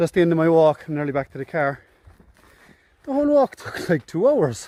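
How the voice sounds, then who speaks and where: At a fairly quick pace, a man with a Cork accent uses a fairly high pitch, lively intonation and big swings in loudness, in a dry, close sound with no echo. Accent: Cork accent, lilting. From Ireland, Cork. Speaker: hiking vlogger. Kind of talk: outdoor vlog commentary. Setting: outdoors, walking on a hill. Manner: casual, chatty.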